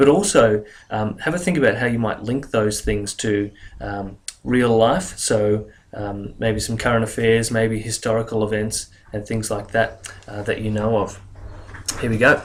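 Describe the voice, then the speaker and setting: An Australian-accented man at a medium pitch, with ordinary pitch variation and a moderate pace. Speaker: English teacher. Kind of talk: educational lecture.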